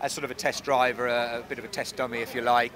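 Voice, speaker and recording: A man speaks at a very fast pace in a dry recording with no echo and noticeable background noise. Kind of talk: interview answer. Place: street. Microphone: handheld.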